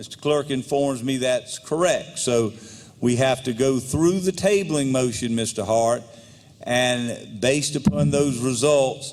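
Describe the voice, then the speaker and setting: At a fairly slow pace, a man speaks in a medium pitch with ordinary pitch variation. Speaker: legislative speaker presiding. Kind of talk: parliamentary procedure. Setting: legislative chamber. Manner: formal.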